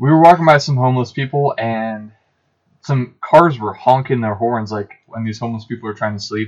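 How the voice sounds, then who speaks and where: Against a quiet background, a man talks at a fairly quick pace and medium pitch, with ordinary pitch variation and big swings in loudness. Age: 20s. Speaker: electrician and van dweller. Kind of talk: casual chat. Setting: in the back of a van.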